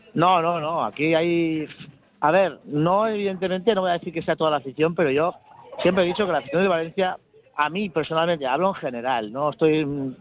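Against music in the background, a man with a high voice speaks at a fairly quick pace with ordinary pitch variation. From Bilbao, Spain. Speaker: football supporters club member. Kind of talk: radio interview.

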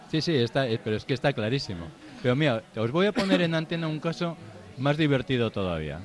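With noticeable background noise behind him, a man with a fairly high pitch talks at a fairly quick pace, his pitch swinging very widely. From Bilbao, Basque Country. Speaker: book author. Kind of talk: casual chat. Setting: live show with audience in a bar.

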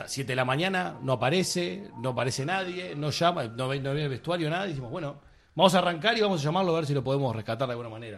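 A man speaks very fast in a Rioplatense accent. His pitch is fairly high and his intonation lively. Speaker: film director. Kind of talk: casual chat.

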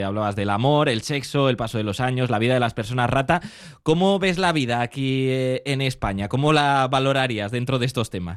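At a moderate pace, a man with a normal speaking voice talks at a medium pitch, with ordinary pitch variation. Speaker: radio host. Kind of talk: radio interview.

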